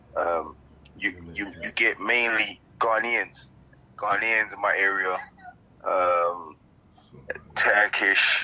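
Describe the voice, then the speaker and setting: Speaking at a very slow pace with long, frequent pauses, a man is heard over noticeable background noise. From London, England (arrived from Nigeria at ten). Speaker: interviewee. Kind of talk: interview.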